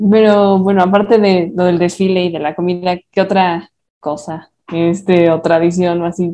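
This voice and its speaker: Speaking at a fairly slow pace, a woman with a fairly low pitch uses a dark, mellow tone and monotone, flat intonation. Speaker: podcast host and moderator. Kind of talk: casual chat.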